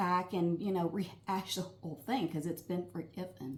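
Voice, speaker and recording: A woman speaks over noticeable background noise. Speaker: marriage counselor. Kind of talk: advice talk. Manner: choppy.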